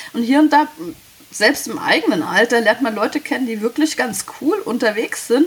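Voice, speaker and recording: Lively intonation from a woman with a high pitch, at a moderate pace over noticeable background noise. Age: 30s. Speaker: caller. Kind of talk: casual chat.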